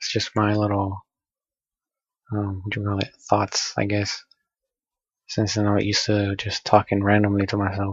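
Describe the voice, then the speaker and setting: Soft-spoken and somewhat breathy, a man at a fairly low pitch talks at a moderate pace with a monotone, flat intonation and long, frequent pauses. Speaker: gamer vlogger. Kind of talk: casual monologue. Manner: halting. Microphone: poor audio quality.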